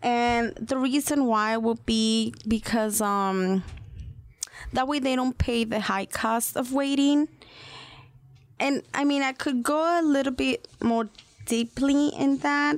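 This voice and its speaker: A woman with a Spanish accent speaks at a very slow pace. Her pitch is high and her intonation lively. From Mexico. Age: 30s. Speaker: financial services representative. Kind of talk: radio interview.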